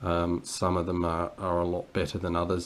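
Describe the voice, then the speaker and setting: A man with an Australian accent talks at a moderate pace in a very deep, low pitch. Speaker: board game reviewer. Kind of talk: unboxing video commentary. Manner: halting, many fillers; casual.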